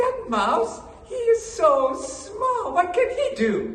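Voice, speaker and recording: A squeaky, put-on character voice, extremely high in pitch, with very wide pitch swings, a very slow pace and slight echo. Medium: read story. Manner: nagging, complaining.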